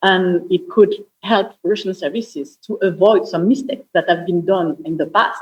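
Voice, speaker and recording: Moderate pace in a strong French accent. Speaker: panelist, security analyst. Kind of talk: panel discussion. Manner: hesitant, many fillers.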